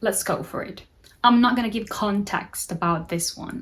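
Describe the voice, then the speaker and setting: Lively intonation colors a woman's speech at a moderate pace. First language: Spanish. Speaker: book content creator. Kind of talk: casual vlog talk with quotes read aloud.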